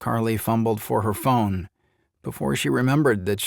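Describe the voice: Quiet background, plain reading aloud, ordinary pitch variation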